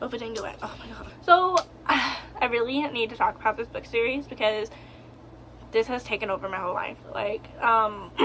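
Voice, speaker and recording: Noticeable background noise sits under a woman's voice, which shows ordinary pitch variation. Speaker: book reviewer. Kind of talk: casual vlog. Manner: halting.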